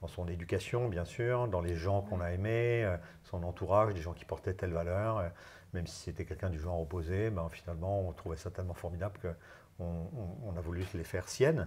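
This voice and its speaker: A man with a very deep, low voice speaks at a fairly quick pace. He sounds somewhat breathy, with fairly even intonation. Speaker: HR consultant and LGBT+ business leader. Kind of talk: interview. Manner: halting, many hesitations.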